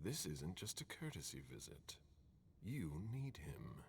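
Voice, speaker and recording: A man uses a put-on character voice with a very deep, low pitch and very wide pitch swings. He goes at a moderate pace over clear background noise. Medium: video game. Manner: terse, formal.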